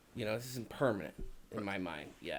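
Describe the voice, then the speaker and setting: This man talks at a fairly quick pace with a Chicago accent. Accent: Chicago accent, can't hide it. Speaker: podcast co-host. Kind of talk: casual chat. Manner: many fillers (um, you know).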